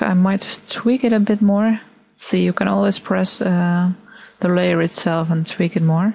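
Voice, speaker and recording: Somewhat breathy, a woman with a non-native accent speaks at a medium pitch. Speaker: digital artist. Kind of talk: software tutorial narration. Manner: hesitant, casual.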